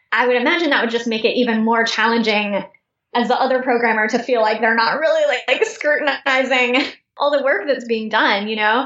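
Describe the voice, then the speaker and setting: At a fairly quick pace, a woman speaks in a high voice with very even loudness. Her intonation is fairly even. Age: 30s. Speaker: startup founder and CEO. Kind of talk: interview.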